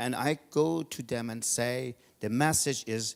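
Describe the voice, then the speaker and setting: A man with a non-native accent speaks at a medium pitch with ordinary pitch variation, and the sound is dry and close with no echo. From Georgia (country). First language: not English. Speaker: event host and tech entrepreneur. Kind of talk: speech to audience.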